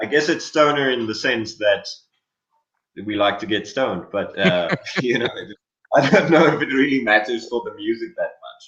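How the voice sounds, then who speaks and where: A man with a South African accent speaks at a medium pitch and a moderate pace, with lively intonation. His loudness swings widely, and he takes long, frequent pauses. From South Africa (Lydenburg, Mpumalanga). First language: Afrikaans. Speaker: rock guitarist and singer. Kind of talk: interview.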